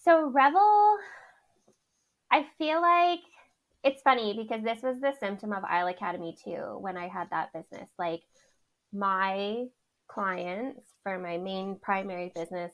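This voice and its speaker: Here is a woman with an ordinary speaking voice and a Canadian accent. She talks at a fairly slow pace. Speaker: wedding planner and entrepreneur. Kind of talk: podcast interview.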